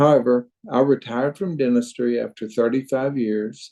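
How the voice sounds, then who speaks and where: Fairly slow speech from a man with a Southern US accent, medium pitch, and a dark, mellow tone. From Arkansas. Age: 70s. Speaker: retired dentist and crossbow hunter. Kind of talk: podcast interview.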